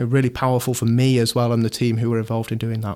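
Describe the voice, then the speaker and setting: Monotone, flat intonation on a very clean recording with a silent background. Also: man. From Shropshire, England. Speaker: airport environmental strategy head. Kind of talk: interview.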